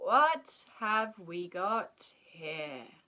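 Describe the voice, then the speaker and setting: A woman's gruff, put-on character voice, fairly high in pitch. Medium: read story.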